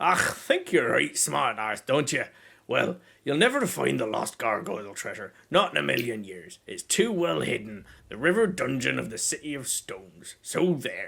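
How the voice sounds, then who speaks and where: A man's put-on character voice in a Scottish accent, fairly high in pitch, at a moderate pace, on a very clean recording with a silent background. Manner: sneering, mocking.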